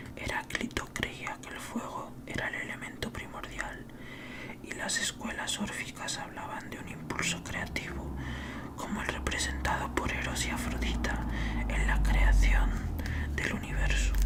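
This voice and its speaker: Speaking in a whisper, a man goes at a fairly slow pace while noticeable background noise carries on behind him. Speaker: ASMR creator. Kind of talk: whispered book reading. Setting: home studio. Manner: whispered.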